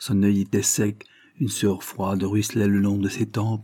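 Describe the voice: Reading aloud, plain.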